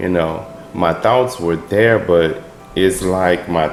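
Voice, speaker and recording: A man's very deep, low voice with ordinary pitch variation, audible room echo and noticeable background noise. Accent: Memphis. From US South, Memphis, Tennessee. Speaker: military veteran speaking about his stutter. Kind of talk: personal testimony. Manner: halting, many fillers.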